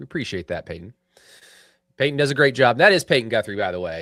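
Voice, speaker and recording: The recording is very clean, with a silent background. A man speaks with an American accent and lively intonation. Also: dry, close sound with no echo. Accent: self-described hick. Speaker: sports podcast host. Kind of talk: casual chat. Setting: live stream studio.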